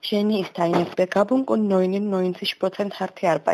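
Noticeable background noise sits behind a woman with a Georgian accent. Her medium-pitched voice keeps a fairly even intonation. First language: Georgian (speaking German). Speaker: German learner. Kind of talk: personal portrait monologue. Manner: halting, with filler sounds.

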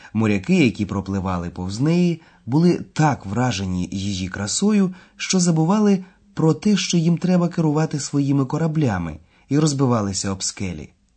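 This man talks at a moderate pace in a somewhat breathy voice, his pitch swinging very widely. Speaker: language course lecturer. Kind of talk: lecture.

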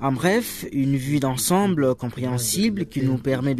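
With noticeable background noise around it, the speech proceeds fairly slowly and shows ordinary pitch variation. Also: man. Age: 40s. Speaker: media entrepreneur. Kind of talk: interview.

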